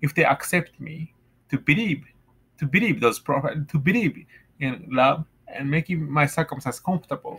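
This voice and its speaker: With a Japanese accent, a man talks at a fairly high pitch. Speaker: vlogger. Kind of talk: personal monologue; casual vlog chat about faith. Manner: halting. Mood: earnest, reflective. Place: home room. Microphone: webcam.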